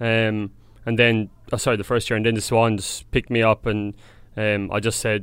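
In an Irish accent, a man of medium pitch speaks at a fairly quick pace. His intonation is monotone and flat. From Ireland, County Tipperary. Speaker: professional Australian football player. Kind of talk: casual interview chat.

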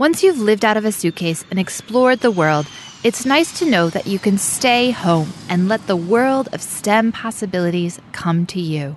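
Through noticeable background noise, a woman at a medium pitch talks at a moderate pace with hardly any pauses and lively intonation. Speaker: podcast producer and host. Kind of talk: scripted podcast narration.

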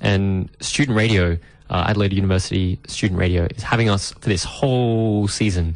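A man talks at a fairly quick pace in a plain, everyday voice, pitched fairly low. His intonation stays fairly even, his loudness is very even, and the background is quiet. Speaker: radio host. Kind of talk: casual radio chat.

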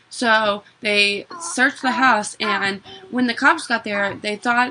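A woman with fairly high pitch and ordinary pitch variation is heard over noticeable background noise. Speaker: true crime podcast co-host. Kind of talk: casual chat with case narration.

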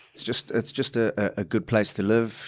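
Recorded very cleanly against a silent background, a man speaks with a South African accent and fairly even intonation. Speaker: junior cricket coordinator. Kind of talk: interview.

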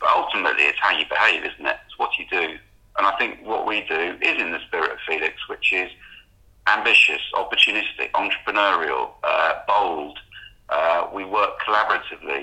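The speech moves at a fairly quick pace, with big swings in loudness. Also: man. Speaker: publishing executive. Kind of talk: interview.

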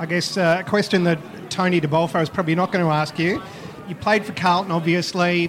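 Over noticeable background noise, the speech runs at a very fast pace with fairly even intonation. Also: man, high pitch for a man. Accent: Australian. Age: 40s. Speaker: football podcast host. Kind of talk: casual interview. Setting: live event venue.

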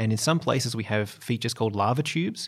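A man with an Australian accent, talking at a very fast pace with ordinary pitch variation. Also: very clean recording, silent background. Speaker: geologist and biologist, planetary scientist. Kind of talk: interview.

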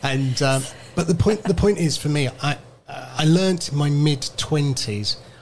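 With an unremarkable speaking voice, a man talks at a fairly slow pace and fairly high pitch, using ordinary pitch variation. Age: 50s. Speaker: radio presenter. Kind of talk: casual chat. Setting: radio studio.

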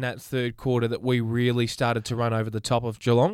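A man with a medium-pitched voice and an Australian accent at a fairly quick pace, in a very clean recording with a silent background. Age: 20s. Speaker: sports podcast co-host. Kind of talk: casual chat. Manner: quiet.

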